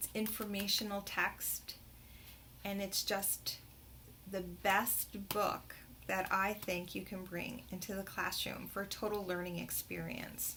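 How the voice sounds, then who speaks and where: A woman speaks with a New Jersey accent. Her pace is very slow. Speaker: teacher trainer. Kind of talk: tutorial. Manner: hesitant, many fillers.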